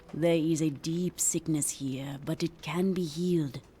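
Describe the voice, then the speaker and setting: In a put-on character voice of middle pitch, the speaker keeps a calm tone over clear background noise. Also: moderate pace. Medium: video game. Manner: calm, measured.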